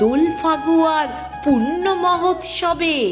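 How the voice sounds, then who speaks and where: Background music plays while a woman is talking. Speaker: poetry reciter. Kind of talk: poetry reading.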